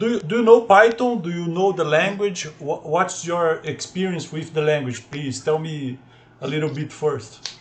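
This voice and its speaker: With ordinary pitch variation, a man's fairly high voice is heard through noticeable background noise. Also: moderate pace. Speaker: programming tutor. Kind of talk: tutorial. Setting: video call with screen sharing. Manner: halting, many repetitions.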